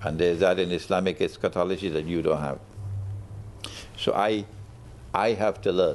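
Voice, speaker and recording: At a moderate pace, a man with a very deep, low pitch speaks in fairly even intonation, leaving long, frequent pauses. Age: 70s. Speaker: Islamic scholar. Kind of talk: TV interview.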